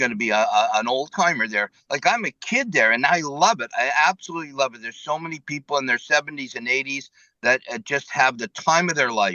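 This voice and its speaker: An unremarkable speaking voice with lively intonation moves at a fairly quick pace, with hardly any pauses and big swings in loudness. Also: man. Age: 60s. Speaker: karaoke singer and amputee. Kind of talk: casual interview.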